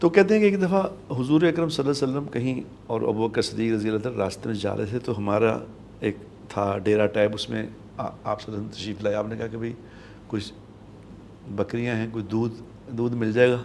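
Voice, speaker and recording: Long, frequent pauses break up a man's speech. His pitch variation is ordinary. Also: medium pitch for a man. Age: 60s. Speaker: Islamic scholar. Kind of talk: religious talk show. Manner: earnest, preaching.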